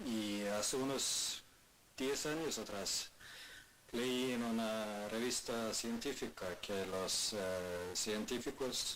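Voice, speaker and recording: With audible room echo, a man in a Sami accent speaks at a medium pitch with fairly even intonation. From Sápmi (northern Scandinavia). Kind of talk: talk at a presentation event. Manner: halting, many fillers.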